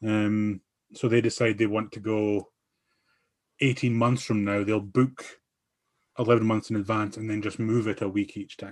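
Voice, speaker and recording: Against a quiet background, a man with an Aberdeen accent speaks at a moderate pace in a fairly low pitch, his intonation monotone and flat, with long, frequent pauses. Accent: Scottish (Aberdeen). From Scotland, Aberdeen. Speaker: podcast guest. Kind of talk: casual chat.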